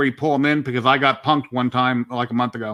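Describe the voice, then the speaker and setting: A man's very fast, bright, sharp voice on a very clean recording with a silent background. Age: 50s. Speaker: live stream host guest. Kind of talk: casual chat.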